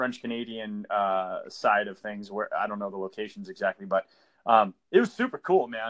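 Talking at a fairly quick pace with lively intonation, a man with an American accent has a plain, everyday voice. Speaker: podcast host.

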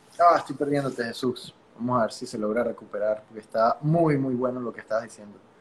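In a Venezuelan accent, the speaker talks at a fairly quick pace with fairly even intonation. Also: man, medium pitch for a man, big swings in loudness. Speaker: podcast host. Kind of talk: interview.

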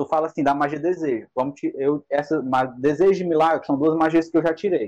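A man talks at a fairly quick pace in a normal speaking voice. His pitch is fairly high, with ordinary variation. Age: 20s. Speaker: tabletop RPG game master. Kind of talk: casual chat.

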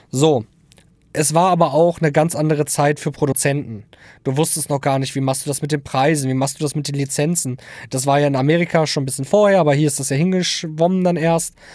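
A man with a fairly high voice talks at a very fast pace, recorded very cleanly against a silent background. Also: fairly even intonation. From Lower Saxony, Germany (Hildesheim). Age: 20s. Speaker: audio engineer and beat producer. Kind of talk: casual chat.

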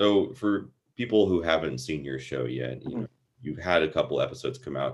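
A man with a very deep, low voice speaks with lively intonation and vocal fry. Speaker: podcast host. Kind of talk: casual interview chat.

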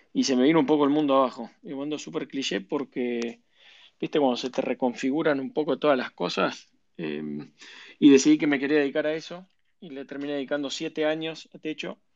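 A man speaks in a Rioplatense accent at a fairly quick pace. His fairly high voice shows ordinary pitch variation against a quiet background. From Argentina, Buenos Aires. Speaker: venture capital investor. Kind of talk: interview.

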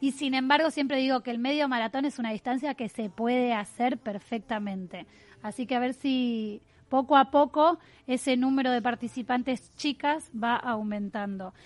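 A high-pitched woman talks at a moderate speed. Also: ordinary pitch variation. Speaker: radio host, journalist and runner. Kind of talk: radio interview. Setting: radio studio.

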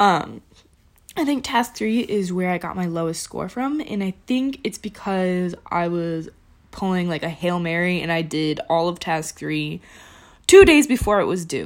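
On a very clean recording with a silent background, a woman speaks at a fairly slow pace and medium pitch. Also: lively intonation. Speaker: student teacher. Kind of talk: tutorial. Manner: soft-spoken; casual, conversational.

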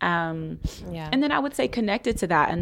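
A woman with an unremarkable speaking voice, fairly low in pitch, at a fairly quick pace, on a very clean recording with a silent background. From US Midwest, Columbus, Ohio. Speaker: electoral organizer. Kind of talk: podcast interview.

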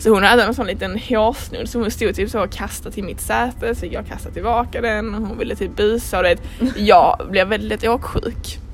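The woman keeps a moderate pace while noticeable background noise runs underneath. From Sweden. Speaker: podcast co-host. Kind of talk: casual chat.

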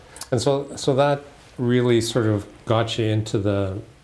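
The man's voice carries a dark, mellow tone and fairly even intonation. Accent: Canadian. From Halifax, Nova Scotia. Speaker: podcast host. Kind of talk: casual interview conversation. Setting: law firm boardroom.

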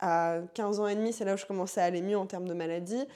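A woman's dark, mellow voice at a medium pitch and a fairly quick pace. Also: very clean recording, silent background. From Paris suburbs (Seine-Saint-Denis). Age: 20s. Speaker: fitness instructor and author. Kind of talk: casual interview. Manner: animated.

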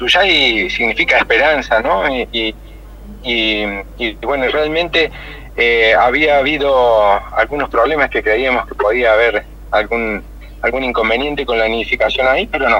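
A man talks at a fairly slow pace. Noticeable background noise sits behind him. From Argentina, Río Cuarto (Córdoba). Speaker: nature reserve owner and conservationist. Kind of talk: radio interview.

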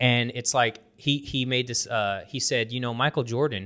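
A man with an American accent has a normal speaking voice at a medium pitch and moderate pace. The recording is very clean, with a silent background. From US. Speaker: podcast host, loan officer. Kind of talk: casual chat.

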